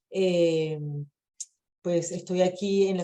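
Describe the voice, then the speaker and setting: With a Venezuelan accent, a woman speaks at a medium pitch. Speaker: immigration lawyer. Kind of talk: webinar presentation. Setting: video call.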